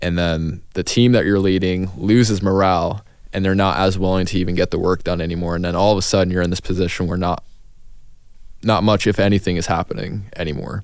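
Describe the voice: A man's low-pitched, slightly mellow voice at a fairly quick pace, with fairly even intonation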